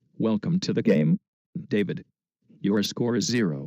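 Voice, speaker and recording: Using a cartoonish character voice at medium pitch, a man speaks at a moderate pace with very wide pitch swings. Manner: deadpan announcer.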